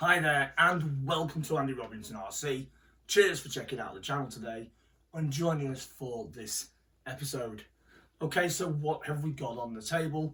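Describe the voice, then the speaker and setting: Speaking with a British accent, a man has a bright, sharp tone and a fairly high pitch, with ordinary pitch variation and big swings in loudness. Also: moderate pace. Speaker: RC hobby YouTuber. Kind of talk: unboxing video talk. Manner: halting.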